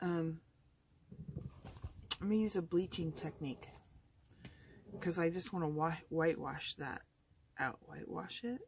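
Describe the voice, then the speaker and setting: Her pitch is fairly low and varies in an ordinary way. This woman keeps a moderate pace. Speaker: card-making crafter. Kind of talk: tutorial. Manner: speaking louder than usual.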